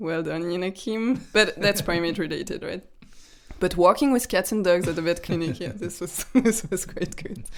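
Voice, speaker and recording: With a strong French accent, a woman talks at a moderate pace and a medium pitch. Her pitch variation is ordinary, while her loudness swings widely. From France. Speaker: podcast co-host, PhD student. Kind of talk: casual chat. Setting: conference.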